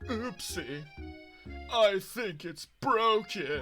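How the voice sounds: Faint music plays behind a put-on character voice pitched in the middle range.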